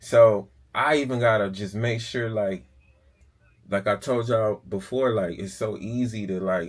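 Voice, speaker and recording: A man's fairly low voice with fairly even intonation and a fairly slow pace on a very clean recording with a silent background. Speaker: car flipper, auction vlogger. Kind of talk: casual vlog monologue. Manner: casual, halting with fillers.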